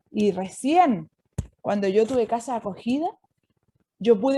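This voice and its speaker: A woman speaks in a fairly high pitch. Her tone is dark and mellow. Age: 60s. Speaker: nun and prison chaplain. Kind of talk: inspirational talk.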